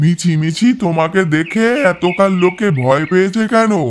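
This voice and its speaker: Putting on a character voice, a man talks at a fairly slow pace. He pitches it high. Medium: audio drama.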